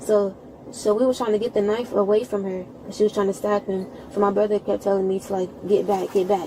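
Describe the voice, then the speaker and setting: A woman's medium-pitched voice at a very fast pace, monotone and flat, with noticeable background noise. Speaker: witness, sibling of shooting victim. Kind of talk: police witness statement.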